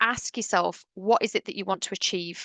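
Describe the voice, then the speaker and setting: A woman with a British accent talks at a fairly quick pace in a medium pitch with ordinary variation, her tone bright and sharp, the sound dry and close with no echo over a quiet background. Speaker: webinar presenter for dental hygienists. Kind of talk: webinar presentation. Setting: online webinar. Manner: fast.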